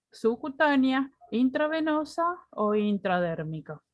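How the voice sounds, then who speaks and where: Her voice high, a woman speaks at a very slow pace with very wide pitch swings. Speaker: nursing instructor. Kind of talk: lecture. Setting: video call.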